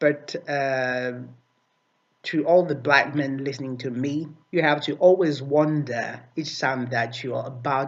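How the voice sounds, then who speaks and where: Fairly slowly and with fairly even intonation, a man with a non-native accent speaks at a fairly high pitch. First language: not English. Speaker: video commentator. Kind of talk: video response commentary. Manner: halting, many fillers and repetitions.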